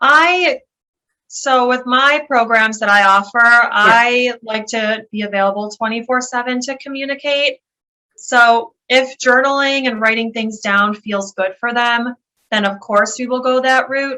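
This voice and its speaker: With a Western New York accent, a woman talks at a fairly slow pace in a high pitch, her tone bright and sharp and her intonation fairly even. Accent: Western New York American. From Buffalo, New York, USA. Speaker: occupational therapist and health coach. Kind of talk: interview answer.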